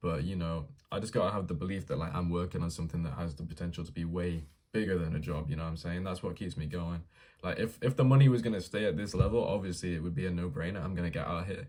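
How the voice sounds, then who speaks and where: A very deep, low-pitched man with an English accent, a dark, mellow tone and ordinary pitch variation, at a very fast pace. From England. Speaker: vlogger documenting a dropshipping business. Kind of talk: casual vlog monologue. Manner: casual, slangy with filler words.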